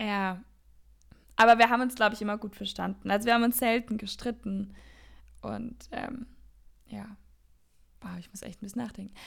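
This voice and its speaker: A woman with a fairly high pitch speaks at a moderate pace, somewhat breathy, in a monotone, flat intonation. Her loudness swings widely, and she takes long, frequent pauses. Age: 20s. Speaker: podcast co-host. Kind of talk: casual chat.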